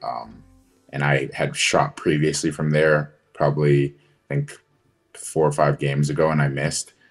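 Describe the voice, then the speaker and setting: Faint music plays in the background behind a man speaking at a moderate pace. His pitch is very deep and low, and his intonation is monotone and flat. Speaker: guest. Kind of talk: interview answer. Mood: relaxed, amused. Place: home room. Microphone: video call.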